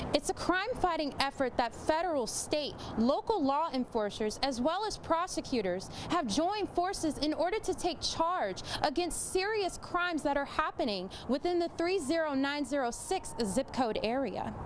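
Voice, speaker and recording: Against noticeable background noise, a woman with a high pitch and very wide pitch swings talks at a moderate pace with very even loudness. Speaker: news reporter. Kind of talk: TV news report.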